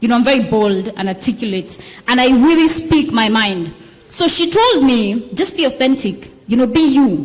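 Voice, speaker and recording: With noticeable background noise behind her, a high-pitched woman talks at a moderate pace, her pitch swinging very widely while her loudness stays very even. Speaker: politician. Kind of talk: panel discussion.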